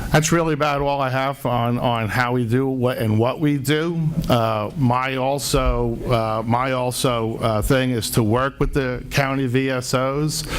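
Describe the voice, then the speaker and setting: A man with a New Jersey accent at a fairly slow pace, hardly any pauses and fairly even intonation, amid noticeable background noise and audible room echo. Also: medium pitch for a man, very even loudness. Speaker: home care company representative. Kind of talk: hearing testimony.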